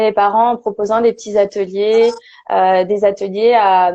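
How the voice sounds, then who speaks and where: A woman talks fairly slowly at a medium pitch. Her intonation stays monotone and flat. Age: 20s. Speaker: perinatal and parenting support worker, former nurse. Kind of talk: interview testimony. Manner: halting, many fillers.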